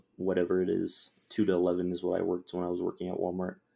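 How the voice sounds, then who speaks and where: This man has a very deep, low pitch and a dark, mellow tone. He speaks at a fairly quick pace. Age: 20s. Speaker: video game coach. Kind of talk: casual interview.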